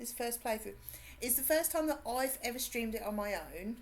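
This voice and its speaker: Vocal fry runs through an animated tone with lively intonation. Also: woman. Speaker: video game streamer. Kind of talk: casual chat. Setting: live stream.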